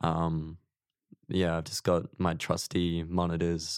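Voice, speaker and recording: Very deep and low, a man's voice comes at a fairly slow pace in a flat monotone with an Australian accent. The recording is very clean, with a silent background and a dry, close sound with no echo. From Queensland, Australia (small country town). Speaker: mixing and mastering engineer. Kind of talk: casual interview chat.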